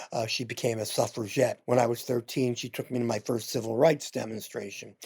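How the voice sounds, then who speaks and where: Fairly quick, somewhat breathy speech in an American accent with monotone, flat intonation. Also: man, medium pitch for a man. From Philadelphia, Pennsylvania. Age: 70s. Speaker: veteran LGBTQ journalist and newspaper founder. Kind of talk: interview.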